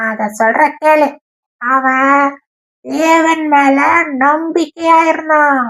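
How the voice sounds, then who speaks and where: This is a cartoonish character voice with a high pitch. It speaks at a very slow pace. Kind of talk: children's puppet show storytelling. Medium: puppet. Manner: upbeat, playful.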